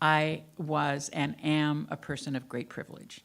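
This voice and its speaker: With an American accent, a woman speaks in a very deep, low voice with vocal fry and ordinary pitch variation. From US South. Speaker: minister. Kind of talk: sermon. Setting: church.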